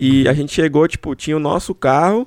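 Dry and close with no echo, a normal speaking voice carries ordinary pitch variation. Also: man. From São Paulo state, Brazil. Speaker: podcast host. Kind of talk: casual chat.

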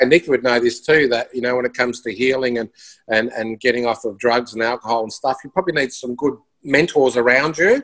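In an Australian accent, the speaker moves at a fairly quick pace with fairly even intonation. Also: man, medium pitch for a man. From Melbourne, Australia. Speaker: musician and broadcaster. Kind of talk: casual interview.

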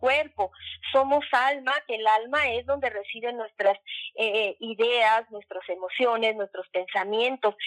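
Her voice high in pitch with ordinary pitch variation, a woman speaks at a fairly slow pace in a dry, close sound with no echo. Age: 50s. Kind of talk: casual interview on faith.

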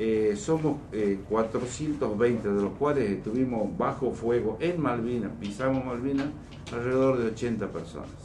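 At a fairly slow pace, a man speaks at medium pitch with ordinary pitch variation, amid noticeable background noise and audible room echo. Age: 50s. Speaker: war veteran. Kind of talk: radio interview. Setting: studio.

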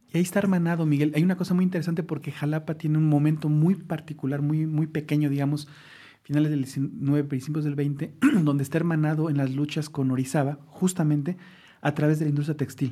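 A man talks very fast in a fairly high, somewhat breathy voice with a dark, mellow tone. His intonation is monotone and flat, and the recording is very clean with a silent background. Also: very even loudness. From Mexico City, Mexico. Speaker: social science researcher. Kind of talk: casual conversation.

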